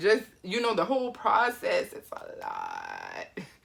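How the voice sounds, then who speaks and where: At a fairly slow pace, a woman speaks in an animated tone. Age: 30s. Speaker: YouTuber, artist and entrepreneur. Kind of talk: motivational channel intro.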